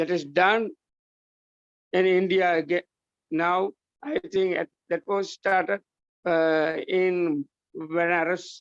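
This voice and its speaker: Long pauses break in frequently. Overall, the delivery is very slow. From Sri Lanka. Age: 70s. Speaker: Buddhist monk. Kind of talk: conference speech. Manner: halting.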